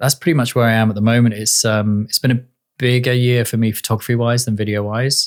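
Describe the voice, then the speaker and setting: A man talks at a very fast pace and medium pitch. His intonation is monotone and flat, his loudness very even. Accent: British. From England. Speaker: director and photographer. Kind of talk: podcast interview.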